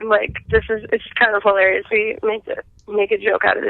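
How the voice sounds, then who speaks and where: Someone speaks at a fairly quick pace with a strong Minnesotan accent. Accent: thick Minnesotan. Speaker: robotics team member. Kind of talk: casual interview.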